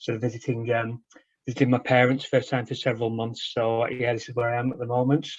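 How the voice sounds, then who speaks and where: A man with a Lancashire accent talks very fast at a medium pitch, his voice somewhat breathy and his intonation flat and monotone. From northern England, Preston. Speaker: author and researcher. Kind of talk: interview over video call. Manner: hesitant.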